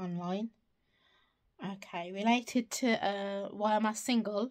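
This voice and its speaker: A woman with a British accent, medium pitch and ordinary pitch variation. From United Kingdom. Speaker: secondary school teacher. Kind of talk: casual talk to camera. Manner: hesitant, thinking aloud.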